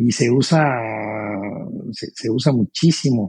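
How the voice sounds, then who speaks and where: A man's medium-pitched, somewhat breathy voice, dark and mellow in tone, with a dry, close sound and no echo. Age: 70s. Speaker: pilot and aerospace entrepreneur. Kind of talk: interview. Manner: halting, with many repetitions and fillers.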